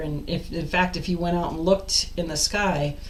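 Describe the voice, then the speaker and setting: Amid noticeable background noise and audible room echo, a woman speaks at a fairly low pitch and moderate pace in a monotone, flat intonation. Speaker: life coach. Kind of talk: casual vlog monologue. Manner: loud.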